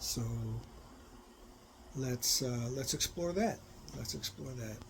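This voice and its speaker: A man at a medium pitch. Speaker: spiritual teacher. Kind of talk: satsang talk. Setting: recorded live video. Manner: slow; soft-spoken.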